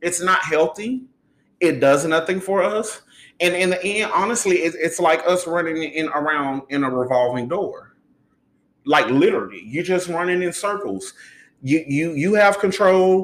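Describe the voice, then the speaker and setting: The speaker's tone is animated, with ordinary pitch variation and a moderate pace. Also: man, high pitch for a man. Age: 30s. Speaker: podcast host. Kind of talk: casual monologue on relationships.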